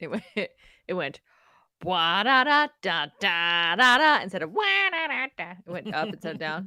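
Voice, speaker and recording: A woman talks at a moderate pace in a bright, sharp tone. Her pitch swings very widely. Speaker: science podcast co-host. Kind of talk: casual chat. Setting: live-streamed podcast recording.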